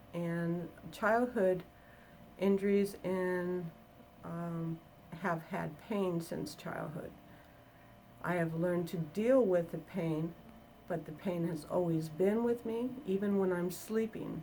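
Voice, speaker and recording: A woman at a very slow pace, fairly low in pitch, with ordinary pitch variation and long, frequent pauses. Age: 60s. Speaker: construction worker. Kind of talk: testimonial interview answer.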